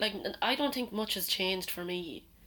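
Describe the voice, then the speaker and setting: A woman with an Irish accent speaks at a medium pitch with lively intonation. Her pace is moderate. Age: 20s. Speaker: podcast co-host. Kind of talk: casual chat. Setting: garden shed makeshift studio.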